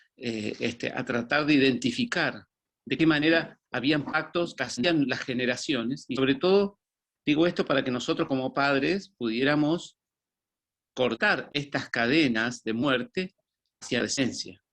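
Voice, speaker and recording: Delivered at a fairly slow pace, an ordinary speaking voice shows ordinary pitch variation. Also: man, fairly high pitch for a man. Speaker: former pastor. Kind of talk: testimony.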